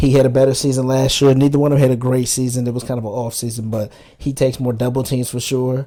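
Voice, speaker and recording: The man's tone is dark and mellow, and his intonation stays flat and monotone. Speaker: sports podcast co-host. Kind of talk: casual sports debate.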